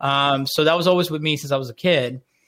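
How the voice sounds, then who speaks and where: A man with an American accent and a fairly high pitch, ordinary pitch variation, a plain, everyday voice, and a very clean recording with a silent background. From Orlando, Florida, US. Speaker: marketing entrepreneur. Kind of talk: radio interview. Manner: casual, conversational.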